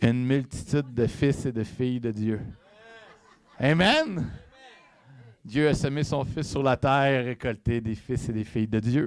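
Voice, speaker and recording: A man talks at a very slow pace. Long pauses come often. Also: medium pitch for a man, ordinary pitch variation. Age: 30s. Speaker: evangelist preacher. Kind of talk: sermon. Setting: church. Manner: halting.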